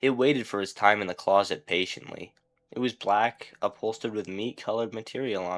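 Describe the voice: The pitch moves in an ordinary way throughout this plain reading aloud. Behind it, things stay quiet.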